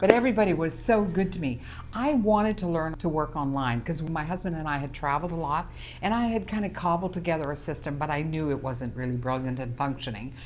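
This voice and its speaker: A woman with a very deep, low pitch and a Canadian prairie accent, very fast pace and lively intonation, with audible room echo. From Canadian prairies, Saskatchewan. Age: 70s. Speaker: small business owner. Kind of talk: interview.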